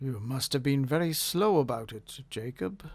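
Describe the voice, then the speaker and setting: Moderate speed and medium pitch in a man's put-on character voice. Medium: read story. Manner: businesslike, cautious.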